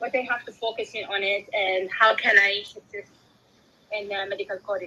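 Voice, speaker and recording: Against noticeable background noise, a woman at medium pitch speaks at a moderate pace with fairly even intonation and big swings in loudness. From Sudan. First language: Arabic. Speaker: aspiring medical coder, law graduate. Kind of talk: question from audience. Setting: live audio room with audience. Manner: halting.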